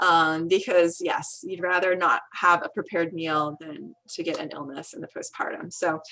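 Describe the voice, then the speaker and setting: A woman with a fairly low pitch speaks at a moderate pace in a monotone, flat intonation, with big swings in loudness and hardly any pauses. Noticeable background noise runs under her voice. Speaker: midwife and doula. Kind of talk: online presentation.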